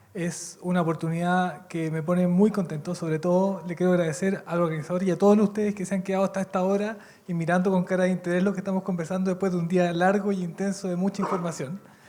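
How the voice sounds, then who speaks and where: Over noticeable background noise, someone speaks at a very fast pace with a Chilean accent. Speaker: lawyer, university researcher, panelist. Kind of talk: conference panel talk.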